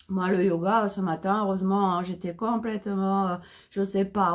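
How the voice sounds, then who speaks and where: On a very clean recording with a silent background, a woman with a southwestern French accent talks at a fairly slow pace and medium pitch with fairly even intonation. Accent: southwestern French, Gers. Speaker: holistic coach. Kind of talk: live stream talk.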